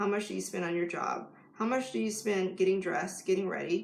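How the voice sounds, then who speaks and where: A woman talks at a very fast pace with a medium pitch. Noticeable background noise runs throughout. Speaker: life coach. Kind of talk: live stream talk to camera.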